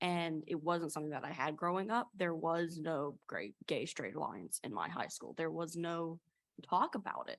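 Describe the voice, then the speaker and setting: At a moderate pace, a woman talks with a slight Appalachian accent. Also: fairly low pitch for a woman, ordinary pitch variation. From US South, East Tennessee Appalachia. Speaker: college student panelist. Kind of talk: panel discussion.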